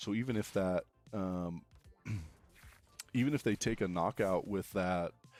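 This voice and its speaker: A man with a very deep, low pitch and music in the background. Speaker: Pokemon card game streamer. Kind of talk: casual livestream commentary. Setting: livestream. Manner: laid-back, not very excited; many fillers and repeated words.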